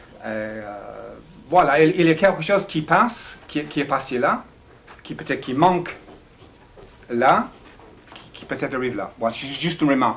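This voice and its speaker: A man with an English accent and fairly high pitch, at a moderate pace, with lively intonation, big swings in loudness, and long, frequent pauses. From England. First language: English (speaking French). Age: 60s. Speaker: audience member. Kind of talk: audience question.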